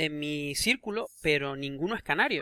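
A man with a bright, sharp tone and a fairly high pitch speaks in a dry, close sound with no echo on a very clean recording against a silent background. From Canary Islands (Tenerife). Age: 30s. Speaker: podcast host, Spanish teacher. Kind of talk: casual chat.

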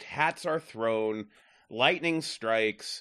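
Speaking over a quiet background, a man has a plain, everyday voice. His pace is fairly slow and his intonation lively. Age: 40s. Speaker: podcast panelist, film reviewer. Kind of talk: casual movie review discussion.

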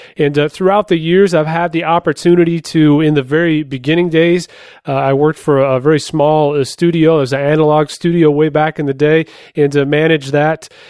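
The speaker goes at a fairly quick pace in a monotone, flat intonation, with very even loudness throughout. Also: man, fairly high pitch for a man. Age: 30s. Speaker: podcast host and home recording musician. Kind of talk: tutorial. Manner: casual, frequent filler words.

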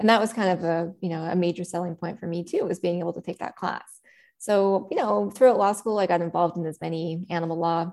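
A woman with a Canadian accent has a plain, everyday voice. She talks at a fairly quick pace and a fairly low pitch, with ordinary pitch variation. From Prince Edward Island, Canada. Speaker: animal rights lawyer. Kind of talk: interview.

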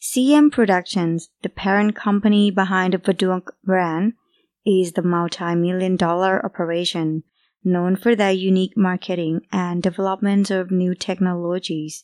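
A woman's voice with fairly even intonation in a very clean recording over a silent background. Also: medium pitch for a woman, moderate pace. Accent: non-native. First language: not English. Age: young. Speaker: podcast co-host. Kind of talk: casual chat and reading aloud. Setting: studio.

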